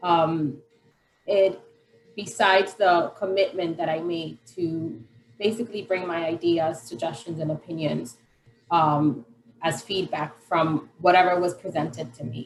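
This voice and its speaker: Her voice fairly low, a woman speaks at a fairly slow pace with ordinary pitch variation. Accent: Spanish. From Colombia, Medellin. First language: Spanish. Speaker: parent advocate and care coordinator. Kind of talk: panel self-introduction.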